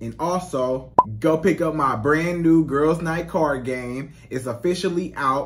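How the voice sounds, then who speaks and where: This is a man's voice. His pitch varies in an ordinary way. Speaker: dating coach vlogger. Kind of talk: casual vlog chat. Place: home room. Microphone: studio mic.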